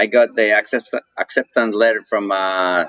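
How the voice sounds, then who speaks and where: A man talks at a moderate pace with medium pitch. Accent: Mexican. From Mexico. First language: Spanish. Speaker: coffee roaster and business owner. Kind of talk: interview. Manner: hesitant, many fillers.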